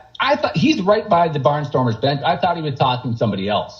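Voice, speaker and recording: A man is speaking. His pitch swings very widely. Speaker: stadium public address announcer. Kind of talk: interview answer.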